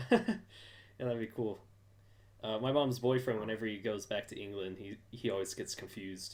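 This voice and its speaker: The delivery moves at a moderate speed. It comes with an American accent. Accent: slight English accent when angry. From US. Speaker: fan podcast host. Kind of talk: casual chat.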